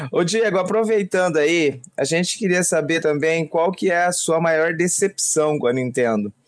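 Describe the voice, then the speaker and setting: A man speaks in a high pitch at a fairly slow pace, with hardly any pauses. His loudness stays very even and his pitch varies in an ordinary way. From Brazil, São Paulo state interior. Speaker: podcast co-host. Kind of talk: casual chat.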